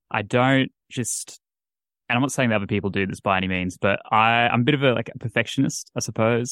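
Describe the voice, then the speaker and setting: A man speaks at a medium pitch in an ordinary speaking voice, fairly quickly and with ordinary pitch variation. The sound is dry and close with no echo. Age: 20s. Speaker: paranormal podcaster. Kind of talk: casual chat.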